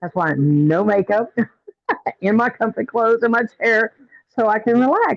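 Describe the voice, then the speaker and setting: In a dry, close sound with no echo, a woman with a fairly high voice and lively intonation speaks at a moderate pace, leaving long, frequent pauses. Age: 60s. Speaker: retail store owner and YouTuber. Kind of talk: casual chat.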